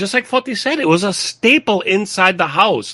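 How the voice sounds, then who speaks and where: Recorded dry and close with no echo, a man speaks in a bright, sharp tone. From Greek-American community near Boston. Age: 50s. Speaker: podcast host. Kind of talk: casual chat.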